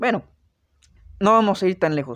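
Recorded dry and close with no echo over a quiet background, a man with a Mexican accent speaks at a high pitch. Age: 20s. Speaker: podcast host. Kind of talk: casual storytelling monologue.

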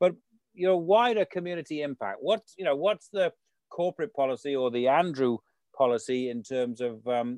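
Ordinary pitch variation marks a normal speaking voice that moves at a fairly quick pace. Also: man. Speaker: radio host. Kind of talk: radio interview.

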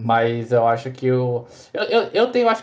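In an unremarkable speaking voice, a man talks at a moderate pace with medium pitch and ordinary pitch variation. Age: 20s. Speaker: esports player. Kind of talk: casual chat.

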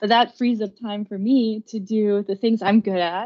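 Her German accent clear, a woman speaks at a moderate pace with monotone, flat intonation. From Germany. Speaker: business professor. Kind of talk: interview. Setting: remote call.

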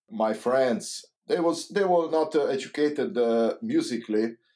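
Fairly slow but with lively intonation, a man delivers his words. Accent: Hungarian. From Hungary. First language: Hungarian. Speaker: saxophonist and composer. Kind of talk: casual interview. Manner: halting.

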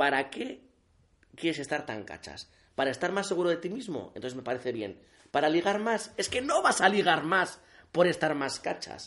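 A man's high-pitched voice at a moderate pace, with very wide pitch swings over a quiet background. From Navarre, Spain (Alsasua). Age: 30s. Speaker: journalist and community manager. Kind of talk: casual chat. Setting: reading room of a palace, late night.

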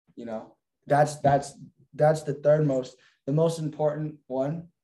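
A man speaks with a fairly high pitch and a dark, mellow tone. His voice is somewhat breathy. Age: young. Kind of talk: casual chat. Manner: animated.

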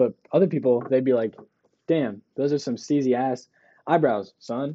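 At a moderate pace, a man talks in an unremarkable speaking voice, medium in pitch, with fairly even intonation. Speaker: podcast co-host. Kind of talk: casual chat. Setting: basement room. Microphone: muffled by face mask.

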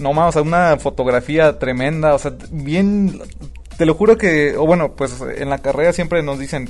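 This man's voice is fairly high in pitch, and he talks at a moderate pace. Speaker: podcast co-host. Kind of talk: casual chat. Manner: animated.

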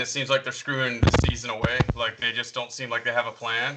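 There is a Southern US accent in this man's voice. He talks at a moderate pace and a medium pitch. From North Carolina. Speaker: podcast co-host. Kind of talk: casual chat.

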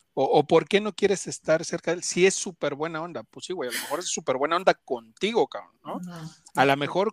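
A man with an ordinary speaking voice talks at a fairly quick pace with ordinary pitch variation. The sound is dry and close with no echo. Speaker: podcast host. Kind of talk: casual chat.

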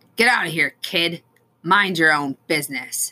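This is a put-on character voice with a growl. It sits at a middle pitch. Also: moderate pace. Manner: snarling, angry.

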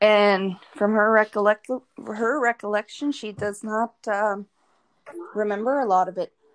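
A woman speaks at a fairly slow pace, her fairly high pitch held to a fairly even intonation. The sound is dry and close, with no echo. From northern Alberta, Canada (First Nation). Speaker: guest sharing recovery story. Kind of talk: testimony.

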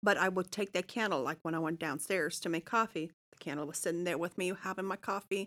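On a very clean recording with a silent background, a woman with a fairly low pitch and ordinary pitch variation talks at a very fast pace. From Germany (Munich). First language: German. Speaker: real estate advisor. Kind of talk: casual chat. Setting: studio.

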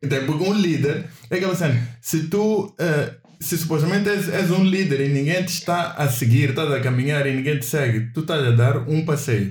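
Fairly high pitch from a man, somewhat breathy, with ordinary pitch variation and a moderate pace. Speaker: podcast co-host. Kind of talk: casual chat.

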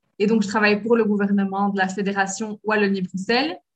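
A woman speaks at medium pitch in a somewhat breathy voice. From Belgium. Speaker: French language lecturer and cultural liaison officer. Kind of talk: interview.

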